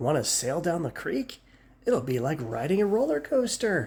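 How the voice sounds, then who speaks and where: A man's put-on character voice at a moderate pace and fairly high pitch. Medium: read story. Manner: bubbly, enthusiastic.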